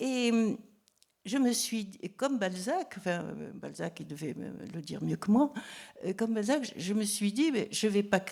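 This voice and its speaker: Very wide pitch swings mark this speech, which proceeds at a fairly slow pace. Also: woman. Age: 80s+. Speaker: novelist. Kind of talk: public talk. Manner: halting.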